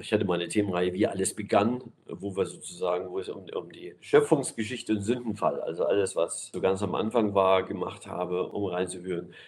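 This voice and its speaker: The speech moves at a fairly quick pace with hardly any pauses and fairly even intonation, over noticeable background noise. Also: man, fairly low pitch for a man. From East Germany. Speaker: pastor. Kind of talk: interview.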